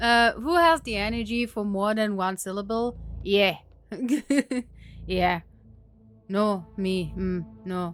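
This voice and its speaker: With music in the background, a woman talks very slowly at a medium pitch with ordinary pitch variation and long, frequent pauses. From Germany. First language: German. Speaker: video game streamer. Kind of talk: casual live stream chat. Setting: live stream.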